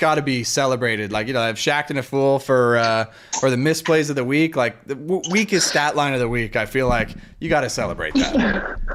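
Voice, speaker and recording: Recorded very cleanly against a silent background, a man with a North American accent and an ordinary speaking voice talks at a fairly quick pace with lively intonation. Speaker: volleyball talk show co-host. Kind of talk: casual chat.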